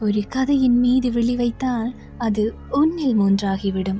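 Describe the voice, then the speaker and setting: A woman with a fairly high pitch talks while music plays in the background. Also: ordinary pitch variation. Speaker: radio jockey. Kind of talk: poetry reading.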